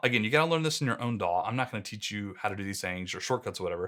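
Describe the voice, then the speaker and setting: In a quiet background, a man talks with lively intonation and a bright, sharp tone. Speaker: online business educator. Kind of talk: tutorial. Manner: casual. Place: studio. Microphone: studio mic.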